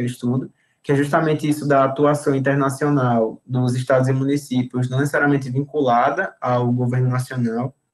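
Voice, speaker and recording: A man's medium-pitched voice, fairly quick and monotone, with flat intonation. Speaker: university student presenting their degree course. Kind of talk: informal talk to prospective students. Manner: fast, talkative.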